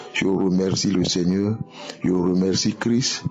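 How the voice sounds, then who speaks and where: Music plays in the background as a man talks at a very slow pace. His voice is fairly low in pitch, with ordinary pitch variation. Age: 70s. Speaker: testimony giver. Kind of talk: testimony.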